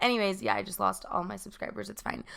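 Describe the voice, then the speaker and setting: The voice carries a bright, sharp tone along with vocal fry. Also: woman. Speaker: podcast host. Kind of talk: casual chat. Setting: home. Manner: loud.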